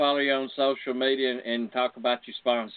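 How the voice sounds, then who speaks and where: A man with an unremarkable speaking voice talks at a fairly quick pace, medium in pitch, with fairly even intonation. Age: 60s. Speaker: radio host. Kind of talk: casual chat.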